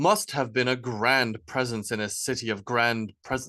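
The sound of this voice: The voice reads in an unforced way. Its intonation keeps fairly even.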